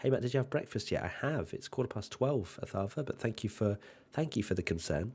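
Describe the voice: Putting on a croaky, raspy character voice, a man speaks at a medium pitch and a fairly quick pace.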